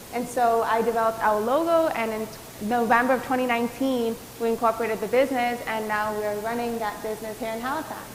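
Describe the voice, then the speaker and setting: A woman with a fairly high voice talks very fast amid noticeable background noise and audible room echo. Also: fairly even intonation. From Antigua. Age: 20s. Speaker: doctoral student and entrepreneur. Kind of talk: panel discussion. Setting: virtual event.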